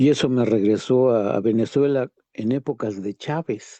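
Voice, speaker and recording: Over a quiet background, a man speaks at a fairly slow pace and a medium pitch, with a dark, mellow tone. His pitch varies in an ordinary way, and the sound is dry and close with no echo. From Mexico. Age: 70s. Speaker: workshop participant. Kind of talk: seminar discussion.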